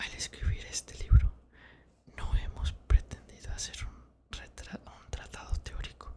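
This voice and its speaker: The pace is very slow. Every word is whispered. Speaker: ASMR creator. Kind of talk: book reading. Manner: whispered, soft.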